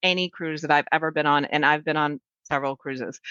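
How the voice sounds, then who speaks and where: A woman speaks with a bright, sharp tone. The sound is dry and close with no echo, over a quiet background. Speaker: podcast co-host, travel agent. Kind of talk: casual chat. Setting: home recording.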